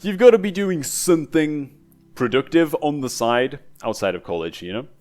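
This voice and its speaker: Music plays in the background as a man with a fairly high pitch talks in an animated tone at a moderate pace, his pitch swinging very widely. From northeast England. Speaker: gaming youtuber. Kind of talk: casual chat.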